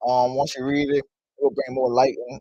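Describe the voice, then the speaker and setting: In a New Orleans accent, a man talks with a dark, mellow tone and a monotone, flat intonation. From New Orleans, Louisiana. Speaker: author. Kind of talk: interview. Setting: studio. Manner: hesitant, many fillers.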